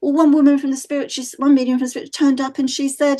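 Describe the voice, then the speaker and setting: Against a quiet background, a woman speaks with a Mancunian accent at a high pitch. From northern England, Manchester. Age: 60s. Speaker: psychic medium. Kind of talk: podcast interview. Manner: animated, frequent fillers like you know.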